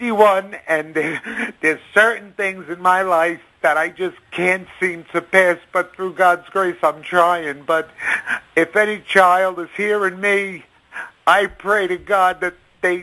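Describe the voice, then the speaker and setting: Raised and projected, a man's high voice moves at a very slow pace with monotone, flat intonation. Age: 50s. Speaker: caller.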